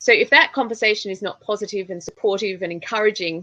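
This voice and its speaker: Bright and sharp in tone, a woman speaks at a fairly quick pace in an Australian accent. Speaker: public speaking trainer. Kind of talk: interview.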